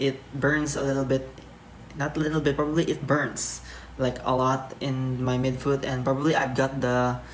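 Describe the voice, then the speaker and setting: Clear background noise runs under speech delivered at a moderate speed. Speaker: vlogger. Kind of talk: product review vlog. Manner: halting, many fillers.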